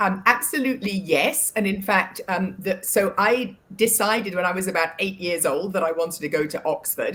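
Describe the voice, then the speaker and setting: A woman with an English accent at a moderate pace, with ordinary pitch variation and hardly any pauses. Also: medium pitch for a woman. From England. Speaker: board director and financial services advisor. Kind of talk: interview. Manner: halting, many filler words.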